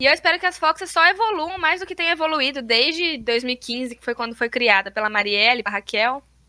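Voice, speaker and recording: A woman talks in a raised, projected voice at a high pitch, with a bright, sharp tone and very wide pitch swings. She moves at a fairly quick pace with hardly any pauses and big swings in loudness, in a dry, close sound with no echo. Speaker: former cheerleading captain. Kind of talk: casual chat.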